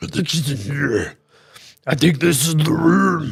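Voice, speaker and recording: A man puts on a character voice that growls, guttural and raspy. His pitch is fairly high. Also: moderate pace. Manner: growling.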